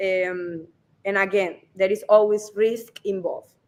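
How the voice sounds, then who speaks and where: Her words come out fairly slowly. This woman talks with a Spanish accent. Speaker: real estate advisor. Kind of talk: live stream interview. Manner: halting.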